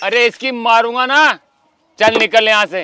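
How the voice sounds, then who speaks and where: A raised, projected voice comes at a very slow pace, dry with no echo, over noticeable background noise. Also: man. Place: garden.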